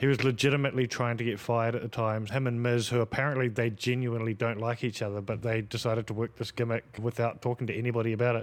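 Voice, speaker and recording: A man with an Australian accent speaks at a very fast pace with hardly any pauses, very even loudness and monotone, flat intonation over a very clean recording with a silent background. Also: medium pitch for a man. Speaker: podcast co-host. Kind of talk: casual chat.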